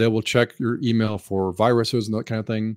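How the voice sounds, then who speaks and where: A man's unremarkable speaking voice, medium in pitch and moderate in pace, in a very clean recording with a silent background. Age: 50s. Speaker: IT services executive. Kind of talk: interview.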